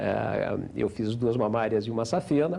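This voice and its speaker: Audible room echo around a man's medium-pitched voice. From Paraná, Brazil. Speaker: business executive. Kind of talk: interview.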